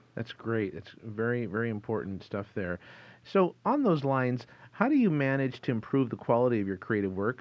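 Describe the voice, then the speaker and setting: At a moderate pace, a man with a medium pitch talks in a plain, everyday voice. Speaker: podcast host. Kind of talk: interview. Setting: studio.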